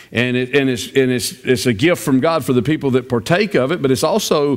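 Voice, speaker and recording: The background stays quiet. A man can be heard talking. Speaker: pastor. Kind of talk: sermon. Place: church.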